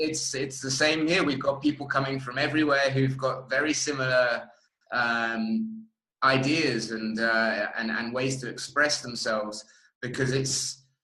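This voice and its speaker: At a fairly slow pace, a man speaks with fairly even intonation at a medium pitch. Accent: English. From England. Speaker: festival interviewer. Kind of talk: interview.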